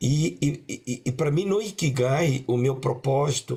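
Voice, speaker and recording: A man with a fairly high voice speaks at a fairly slow pace, his pitch moving in an ordinary way, with vocal fry. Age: 60s. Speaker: coach and panelist. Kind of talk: panel discussion. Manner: halting, many repetitions.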